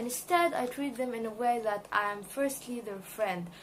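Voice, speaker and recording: In a room with audible echo, a woman speaks at a fairly slow pace in a high pitch. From Egypt. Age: 20s. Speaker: student. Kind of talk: video job application interview answers. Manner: hesitant, many fillers.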